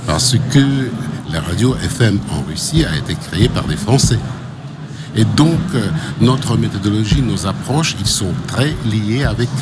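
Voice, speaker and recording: A man at a medium pitch speaks at a fairly slow pace, his pitch swinging very widely. Audible room echo and noticeable background noise surround him. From Russia. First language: Russian (speaking French). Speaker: radio executive. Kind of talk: interview. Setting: radio studio at trade show. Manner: hesitant.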